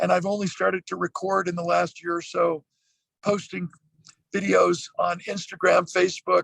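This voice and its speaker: The man talks at a moderate pace. The sound is dry and close, with no echo. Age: 60s. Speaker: motivational speaker. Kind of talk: casual chat.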